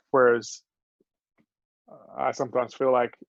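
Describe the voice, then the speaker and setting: This man speaks with an Australian accent and vocal fry. The sound is dry and close, with no echo. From Australia, Adelaide. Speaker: podcast guest. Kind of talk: casual chat.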